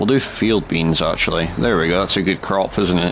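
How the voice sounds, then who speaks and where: A Scottish accent at a moderate pace, with noticeable background noise. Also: man. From Scotland. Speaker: gaming streamer. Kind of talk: live gameplay commentary. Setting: live stream. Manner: casual, chatty.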